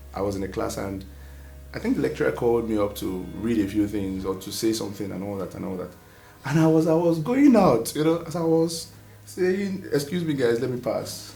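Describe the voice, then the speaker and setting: With audible room echo and music in the background, a man speaks fast-ish at a medium pitch, his voice swinging very widely up and down. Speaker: vlogger. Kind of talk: personal vlog monologue. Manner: animated.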